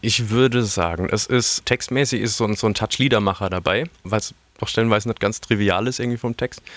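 A man with a normal speaking voice, medium in pitch, fairly even in intonation, at a fairly quick pace. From Karlsruhe, Baden, Germany. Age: 30s. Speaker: singer-songwriter. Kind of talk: interview.

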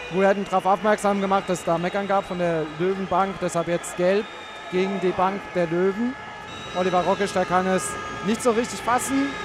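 Over noticeable background noise, a man with a high pitch speaks at a moderate pace and fairly even intonation. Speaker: handball reporter. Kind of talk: live sports commentary. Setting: sports arena.

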